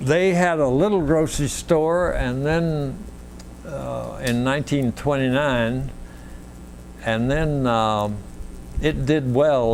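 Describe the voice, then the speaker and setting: Very slow speech from a man, medium in pitch, its pitch varying in an ordinary way. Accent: Central Texas. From Wimberley, Texas. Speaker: local historian. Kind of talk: oral history interview answer.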